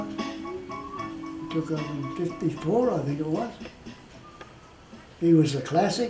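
A man speaks with an Australian accent. Clear music plays behind him, and the room echo is audible. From Australia, Cairns, Queensland. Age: 80s+. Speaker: retired rugby league player and referee. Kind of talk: interview answer, reminiscing. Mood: warm, amused reminiscing.

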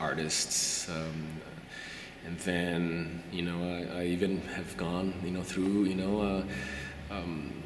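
A man talks in a very deep, low pitch. Noticeable background noise runs behind him. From Brazil. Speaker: qualitative researcher. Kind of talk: interview answer. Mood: reflective, thoughtful. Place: hall.

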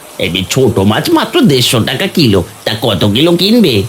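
Over clear background noise, a man does a cartoonish character voice at medium pitch and a moderate pace, with very wide pitch swings. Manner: crafty, gloating.

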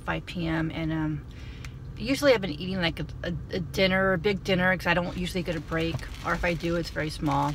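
There is light background noise as a woman talks at a fairly quick pace, the sound dry with no echo. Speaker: food vlogger. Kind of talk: casual vlog chat. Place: car. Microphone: phone near.

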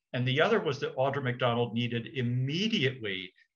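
A man with an American accent speaks with ordinary pitch variation against a quiet background. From Connecticut, US. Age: 60s. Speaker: arts administrator; interviewee. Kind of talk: interview. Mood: warm, nostalgic, humorous. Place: home room. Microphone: video call.

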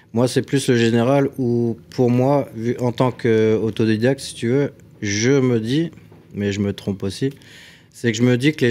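This man speaks at a fairly slow pace. His tone is dark and mellow, and his intonation stays fairly even. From Alsace, France (Strasbourg); Alsace, France. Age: 40s. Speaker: cabinetmaker and DIY content creator; DIY content creator. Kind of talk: casual chat. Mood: relaxed, conversational. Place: studio. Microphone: studio mic.

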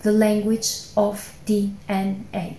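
Audible room echo is present. A woman's voice is heard within it. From Albania. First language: Albanian. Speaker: scientist. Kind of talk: personal testimony speech. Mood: earnest, calm, heartfelt. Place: home room. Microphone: phone near.

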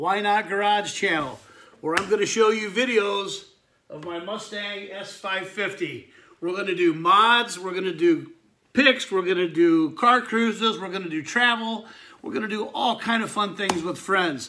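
A man projects a raised voice with a bright, sharp tone, his loudness rising and falling sharply. He keeps a moderate pace with ordinary pitch variation over light background noise. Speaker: channel host. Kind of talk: casual vlog chat. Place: garage. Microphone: phone near.

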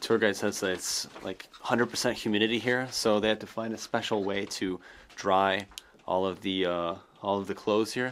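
A man talks at a moderate pace in a fairly low pitch, with an unremarkable speaking voice. Light background noise sits behind him. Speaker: travel vlogger. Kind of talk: casual vlog chat. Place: tunnel cave. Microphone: phone near.

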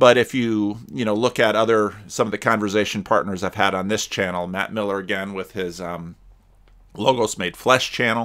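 The background is quiet. A man with a fairly low pitch speaks with fairly even intonation. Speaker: pastor. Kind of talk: commentary. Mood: reflective, conversational. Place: home room. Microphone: webcam.

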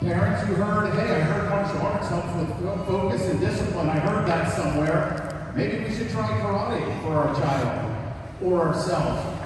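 Noticeable background noise and strong room echo fill this recording. A man talks at a moderate pace with very wide pitch swings. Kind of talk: speech to an audience. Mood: warm, lightly humorous. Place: hall.

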